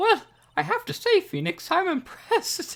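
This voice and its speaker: Putting on a squeaky character voice at an extremely high pitch, a man speaks at a moderate pace. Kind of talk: Mrs. Doubtfire impression. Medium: read story.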